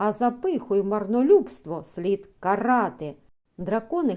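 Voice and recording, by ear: Quiet background behind someone reading aloud in a natural voice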